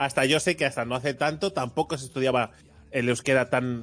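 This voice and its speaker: A man talks in a normal speaking voice at a medium pitch and a moderate pace. His intonation is fairly even, and the background is quiet. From Barcelona, Spain. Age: 30s. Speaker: podcast host. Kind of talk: casual chat.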